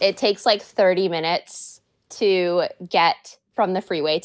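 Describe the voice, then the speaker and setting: Talking at a fairly slow pace, a woman has a Pacific Northwest accent. The sound is dry and close with no echo, in a very clean recording with a silent background. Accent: Pacific Northwest American. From US Pacific Northwest, Washington State. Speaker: freelance model. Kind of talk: casual chat.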